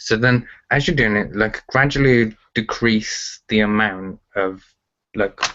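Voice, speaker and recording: A man with a Birmingham accent talks at a fairly low pitch and a fairly slow pace. His loudness stays very even, and his intonation is fairly even. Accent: Birmingham (Brummie) English. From England, Birmingham. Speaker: telekinesis teacher. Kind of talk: interview. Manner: casual, filler-heavy.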